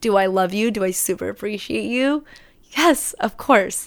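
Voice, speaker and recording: Against a silent background in a very clean recording, a woman speaks at a fairly slow pace. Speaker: podcast host. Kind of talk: solo podcast monologue. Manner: articulate.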